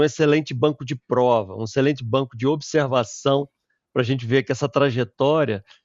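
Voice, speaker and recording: In an ordinary speaking voice, a man talks at a moderate pace with medium pitch and fairly even intonation. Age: 60s. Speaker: tech company founder and CEO. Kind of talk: interview.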